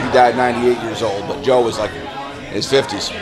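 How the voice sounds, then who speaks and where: Crowd noise and audible room echo fill the background. A man with an American accent speaks at a very fast pace. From upstate New York, near Rochester. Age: 50s. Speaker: rock musician. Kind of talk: interview. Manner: hesitant, many fillers.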